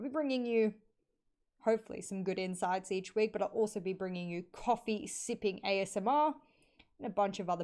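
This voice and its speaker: A woman speaks with an Australian accent at a fairly quick pace. Her pitch variation is ordinary. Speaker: esports caster and analyst. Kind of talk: solo podcast livestream. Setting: live stream.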